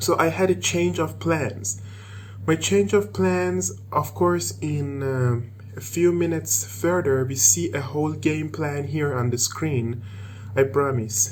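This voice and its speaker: In an Iranian accent, a man speaks at a very slow pace with very wide pitch swings, amid noticeable background noise and audible room echo. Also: medium pitch for a man. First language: Persian. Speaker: programmer and tech video maker. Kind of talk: tutorial. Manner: halting.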